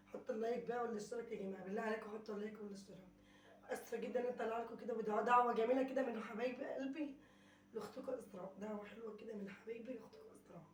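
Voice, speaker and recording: Amid audible room echo and noticeable background noise, a woman with a fairly high pitch speaks at a very fast pace with fairly even intonation. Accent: Egyptian. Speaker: vlogger. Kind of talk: casual vlog chat.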